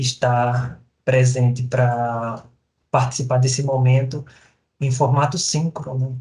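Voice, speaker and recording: In a Sergipe accent, the somewhat breathy speaker talks at a very slow pace with monotone, flat intonation and audible room echo. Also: man. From Brazil, Sergipe (Lagarto). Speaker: professor. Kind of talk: recorded lecture. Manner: halting, many fillers.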